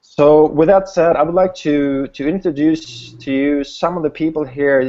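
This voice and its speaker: Fairly high in pitch yet dark and mellow in tone, a man with a Swedish accent speaks at a moderate pace with fairly even intonation. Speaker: online business host. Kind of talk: webinar hangout presentation. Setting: video call. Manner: halting, many repetitions.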